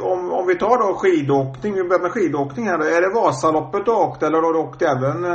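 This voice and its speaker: A man with lively intonation at a fairly quick pace, with audible room echo and noticeable background noise. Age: 50s. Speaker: podcast host. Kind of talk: casual interview. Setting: phone call.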